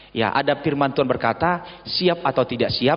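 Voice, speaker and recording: Here a man speaks at a medium pitch. His pace is moderate, with ordinary pitch variation. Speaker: visiting pastor. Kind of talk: sermon. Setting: church.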